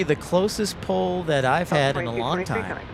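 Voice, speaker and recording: With a Chicago accent, a man talks at a fairly slow pace. His pitch swings very widely over noticeable background noise. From Chicago area, US Midwest. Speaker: plane spotting live streamer. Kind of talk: live commentary. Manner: casual, conversational.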